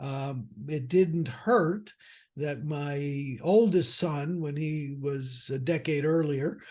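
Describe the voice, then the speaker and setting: A man's fairly high, somewhat breathy voice with ordinary pitch variation, in a quiet background. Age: 60s. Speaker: financial advisor and firm founder. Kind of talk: podcast interview. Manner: conversational with fillers.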